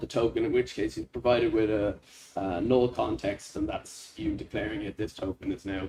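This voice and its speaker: A man speaks with a Dublin accent. His pace is moderate. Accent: Irish (Dublin). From Ireland, Dublin. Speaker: software developer presenting a hackathon project. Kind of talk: project demo presentation. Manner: hesitant, many fillers.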